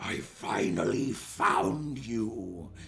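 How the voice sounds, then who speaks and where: A put-on character voice growls. There is audible echo around it. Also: man, medium pitch for a man. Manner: low growl.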